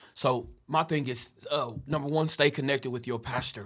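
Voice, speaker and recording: Speaking at a fairly quick pace with fairly even intonation, a man uses a plain, everyday voice in an American accent. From Kansas. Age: 30s. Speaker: pastor. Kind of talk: casual interview.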